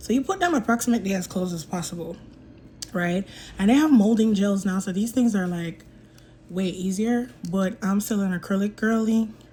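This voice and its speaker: A woman's medium-pitched, somewhat breathy voice with a dark, mellow tone, at a fairly quick pace with ordinary pitch variation. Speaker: nail technician. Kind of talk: tutorial.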